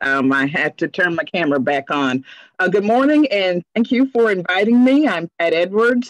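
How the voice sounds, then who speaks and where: A woman's fairly slow speech with very wide pitch swings over a quiet background. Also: dry sound with no echo. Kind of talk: informational presentation. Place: home room. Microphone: video call.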